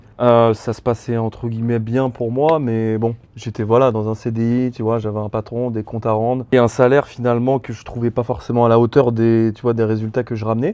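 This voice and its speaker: A man's dark, mellow, medium-pitched voice, fairly quick and monotone, with flat intonation and hardly any pauses. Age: 20s. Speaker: former salesman. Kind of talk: podcast interview. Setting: outdoors by a pool at night. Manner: casual.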